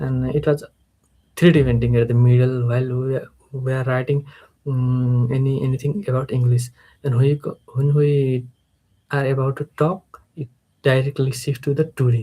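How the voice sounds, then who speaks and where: Somewhat breathy with a dark, mellow tone, a man speaks with fairly even intonation and long, frequent pauses. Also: medium pitch for a man, moderate pace. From Nepal. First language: Nepali. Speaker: English learner, freelancer. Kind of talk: live stream speaking practice. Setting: live stream, camera. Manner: halting, many fillers and repetitions.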